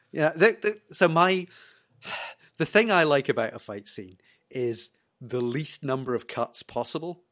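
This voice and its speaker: On a very clean recording with a silent background, a man with a Scottish accent speaks fairly slowly in a fairly high voice, with very wide pitch swings, big shifts in loudness and long, frequent pauses. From Scotland. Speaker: TV review podcast guest. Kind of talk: casual chat.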